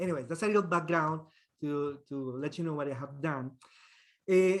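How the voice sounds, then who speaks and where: The speech runs at a moderate pace with ordinary pitch variation. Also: man, fairly high pitch for a man. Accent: strong Colombian. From Colombia. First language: Spanish. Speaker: trumpet professor. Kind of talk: guest talk in online masterclass. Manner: halting, many fillers and repetitions.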